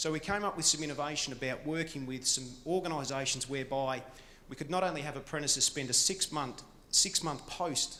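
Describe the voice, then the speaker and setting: At a fairly quick pace, a man with a fairly high pitch speaks with ordinary pitch variation. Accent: Australian. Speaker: conference speaker on apprenticeships. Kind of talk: presentation.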